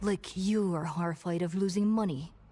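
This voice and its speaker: Someone speaks at a middle pitch and moderate pace in a put-on character voice. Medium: solo performance. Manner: blunt, guarded.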